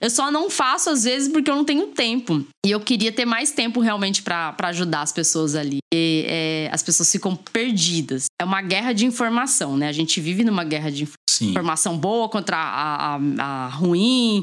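A woman's medium-pitched voice with very wide pitch swings, very even loudness and hardly any pauses. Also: moderate pace. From Brazil, Mato Grosso do Sul. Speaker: university professor and science communicator. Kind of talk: casual podcast interview. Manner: talkative.

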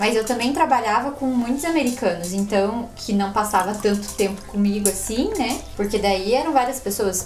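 Against music in the background and audible room echo, a woman speaks at a moderate pace. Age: 20s. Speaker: former exchange worker sharing travel stories. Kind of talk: casual chat. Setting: home studio.

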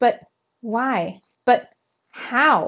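A put-on character voice, very slow in pace, with lively intonation. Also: woman, fairly high pitch for a woman.

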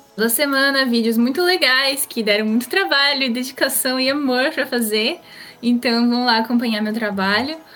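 The speech moves at a moderate pace with very even loudness and ordinary pitch variation, over noticeable background noise. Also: woman, high pitch for a woman. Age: 20s. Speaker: online content creator. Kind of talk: casual chat.

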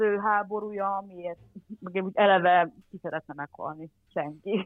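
In an unremarkable speaking voice, a woman talks at a fairly slow pace and medium pitch with fairly even intonation. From Transcarpathia, Ukraine (Hungarian minority). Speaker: former volunteer. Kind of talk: casual interview. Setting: remote call.

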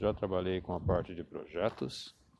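A man's voice, very deep and low in pitch. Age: 40s. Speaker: career coach and tech professional. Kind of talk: monologue podcast. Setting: outdoors on the street.

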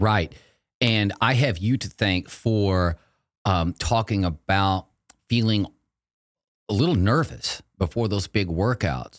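On a very clean recording with a silent background and a dry, close sound with no echo, a man with an American accent speaks at a very slow pace with long, frequent pauses, a fairly low pitch and ordinary pitch variation. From Texas. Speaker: marathon running coach. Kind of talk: casual interview chat.

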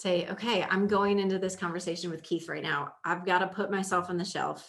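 Speech moves at a moderate pace with an American accent. It is an ordinary speaking voice. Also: woman. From Indiana, US Midwest. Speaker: podcast host, leadership coach. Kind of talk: casual chat. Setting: studio, same room as co-host.

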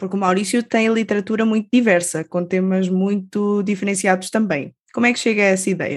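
Her medium-pitched delivery is a normal speaking voice, and this woman keeps to a moderate pace. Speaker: radio host. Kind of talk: interview.

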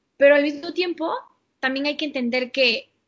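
Her pitch high for a woman, she speaks at a moderate pace with ordinary pitch variation. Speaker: podcast co-host. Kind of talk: casual chat.

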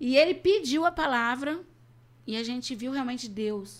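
The speaker is a woman. She moves through very wide pitch swings. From Brazil. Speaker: missionary. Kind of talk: interview.

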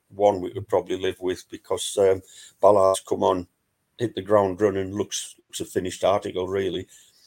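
With a Wearside accent, a man speaks at a moderate pace in a dry, close sound with no echo. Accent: Wearside (Sunderland) English. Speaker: fanzine contributor and football fan. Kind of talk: casual chat. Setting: video call.

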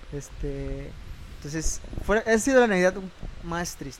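A man at a moderate pace. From Mexico, Puerto Vallarta. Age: 20s. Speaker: church music ministry member. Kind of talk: casual chat.

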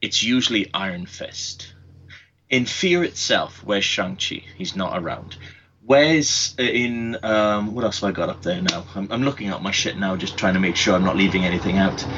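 A man with a Welsh accent speaks at a moderate pace in a fairly low voice. His intonation is lively. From Wales. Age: 30s. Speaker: podcast co-host. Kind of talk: casual chat. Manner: animated.

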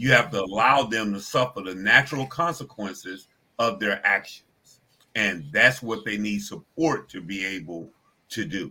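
Lively in intonation and with big swings in loudness, a man speaks at a fairly low pitch and a moderate pace, his tone bright and sharp. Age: 60s. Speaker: addiction recovery ministry director. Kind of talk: talk show interview.

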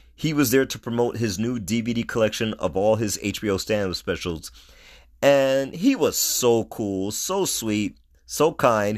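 Recorded very cleanly against a silent background, a man speaks at a medium pitch and a fairly slow pace with ordinary pitch variation. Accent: New York. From New York City (Brooklyn and Queens). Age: 50s. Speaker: podcast host. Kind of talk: solo podcast monologue.

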